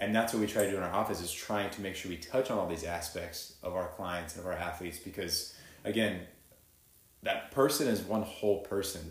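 A man with a fairly low pitch talks at a fairly quick pace, using ordinary pitch variation, with audible room echo around him. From Texas. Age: 20s. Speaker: chiropractor. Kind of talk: casual interview chat.

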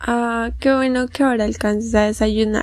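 Pitched fairly high, a woman speaks at a moderate pace with monotone, flat intonation. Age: young. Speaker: student podcast host. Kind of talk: interview. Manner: formal.

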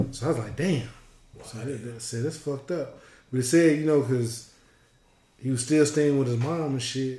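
A man's dark, mellow, somewhat breathy voice with fairly even intonation, long, frequent pauses and audible room echo. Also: medium pitch for a man, moderate pace, big swings in loudness. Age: 40s. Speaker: podcast co-host, retired. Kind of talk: casual chat.

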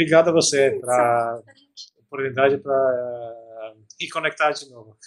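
At a moderate pace, a man with an Albanian accent speaks with fairly even intonation. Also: medium pitch for a man. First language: Albanian (speaking Portuguese). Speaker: tech startup founder. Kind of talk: interview. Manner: halting, many fillers and repetitions.

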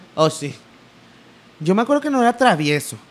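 With a Mexican accent, a man talks using lively intonation. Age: 20s. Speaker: podcast co-host, video producer and voice actor. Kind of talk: casual chat.

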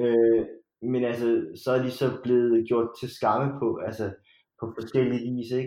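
A man talks at a moderate pace. His pitch is in the medium range. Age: 30s. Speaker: podcast guest. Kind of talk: casual chat. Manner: halting.

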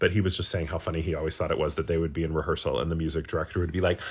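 A man with vocal fry speaks in an animated tone, recorded very cleanly against a silent background. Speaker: podcast co-host. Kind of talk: casual comedic chat. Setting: at home with a cat.

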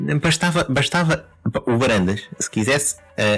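A man's moderately paced speech with a European Portuguese accent and very wide pitch swings, music in the background. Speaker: football podcast co-host. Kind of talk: casual chat. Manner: halting, repeats words.

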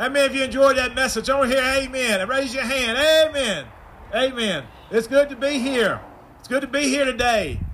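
Noticeable background noise sits behind a man's voice. He has an extremely high pitch and fairly even intonation. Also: fairly quick pace. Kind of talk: prayer and introduction at church service. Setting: drive-in church, congregation in vehicles.

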